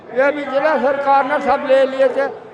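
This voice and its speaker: A western Uttar Pradesh accent with noticeable background noise. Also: man. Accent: rural western UP Haryanvi-like dialect. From western Uttar Pradesh, Shamli area. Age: 80s+. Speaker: farmer. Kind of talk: street interview. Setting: outdoors at a political rally.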